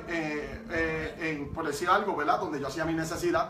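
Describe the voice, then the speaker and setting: A man with a Puerto Rican accent is heard with audible room echo and noticeable background noise. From Puerto Rico. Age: 40s. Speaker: evangelist, former reggaeton artist. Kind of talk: testimony. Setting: studio.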